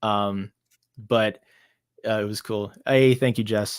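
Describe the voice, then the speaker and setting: A man with an American accent and a medium pitch, on a very clean recording with a silent background. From United States. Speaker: author and illustrator. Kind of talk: casual interview. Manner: halting, many fillers and restarts.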